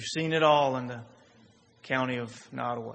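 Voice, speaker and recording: Moderately paced male voice with fairly even intonation and audible room echo. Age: 30s. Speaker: pastor. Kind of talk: sermon. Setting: church.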